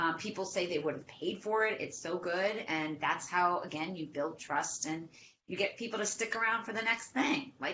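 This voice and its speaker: This woman has a Boston accent and a medium pitch. Her intonation is lively, and her pace is moderate. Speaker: social media marketing expert. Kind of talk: webinar interview. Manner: animated.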